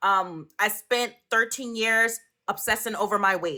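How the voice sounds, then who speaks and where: A woman with a New York accent, a fairly high pitch and a bright, sharp tone, speaking at a fairly slow pace with ordinary pitch variation. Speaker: author and social media influencer. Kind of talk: interview.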